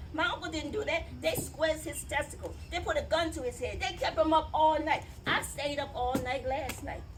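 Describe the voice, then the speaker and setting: A woman talks with hardly any pauses. Audible room echo and noticeable background noise are present. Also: moderate pace. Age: 60s. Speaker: family member speaking at a memorial event. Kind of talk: public speech and reading a letter aloud. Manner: emphatic.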